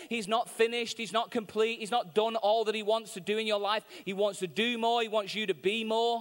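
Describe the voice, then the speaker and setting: Hardly pausing, a man with a Mancunian accent talks at a fairly quick pace in an animated tone and a high pitch. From Manchester, England. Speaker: visiting preacher. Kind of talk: sermon. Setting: church with live audience. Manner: humorous, animated.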